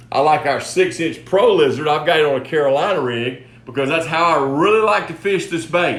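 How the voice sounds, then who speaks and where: A fairly high-pitched man speaks with ordinary pitch variation, and the room echo is audible. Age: 60s. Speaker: fishing lure company host. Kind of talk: product tutorial. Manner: casual, repetitive restarts.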